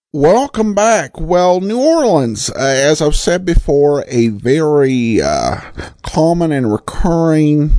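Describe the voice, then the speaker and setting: Fairly high in pitch, this man talks at a very slow pace. Noticeable background noise sits behind him. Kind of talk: podcast host intro and outro, casual commentary.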